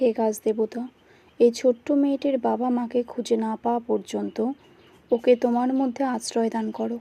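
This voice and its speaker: With a dark, mellow tone, a woman speaks at a high pitch in a monotone, flat way, the sound dry and close with no echo. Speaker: voice-over artist. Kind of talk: read story narration.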